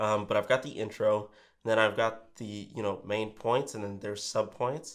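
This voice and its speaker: The man's tone is energetic. He speaks at a moderate pace and medium pitch. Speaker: real estate agent and YouTuber. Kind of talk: tutorial. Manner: energetic on camera; casual with filler words.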